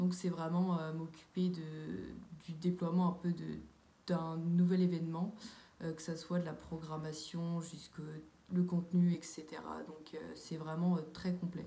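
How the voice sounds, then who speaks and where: The voice is dark and mellow, somewhat breathy, and monotone with flat intonation. It moves at a fairly slow pace with long, frequent pauses, big swings in loudness, and audible room echo. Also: woman, fairly low pitch for a woman. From France, Sarthe (near Le Mans). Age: 20s. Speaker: civic service volunteer, student. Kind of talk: testimony. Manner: hesitant, many fillers.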